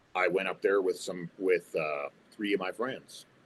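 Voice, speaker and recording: A man speaks with a Canadian accent at a moderate pace. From Ontario, Canada. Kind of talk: interview answer. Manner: candid, reflective.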